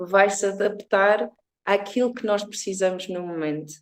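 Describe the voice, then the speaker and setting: A woman of medium pitch with an English accent. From Portugal, born in England. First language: English (speaking Portuguese). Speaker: reiki therapist. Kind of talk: interview. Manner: halting.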